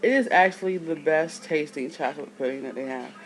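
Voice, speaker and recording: A woman's lively intonation carries through noticeable background noise as she talks at a moderate pace. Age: 30s. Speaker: video blogger. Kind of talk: casual vlog. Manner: casual, rambling speech.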